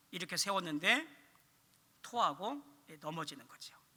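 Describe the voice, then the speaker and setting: A man's high, bright, sharp voice, raised and projected, at a moderate pace. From Korea, Chungcheong (Dangjin). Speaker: pastor / evangelism teacher. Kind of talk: sermon.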